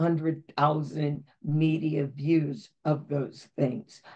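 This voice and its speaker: A woman's very deep, low voice, dark and mellow in tone, with vocal fry. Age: 70s. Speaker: voter outreach organizer. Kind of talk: webinar Q&A.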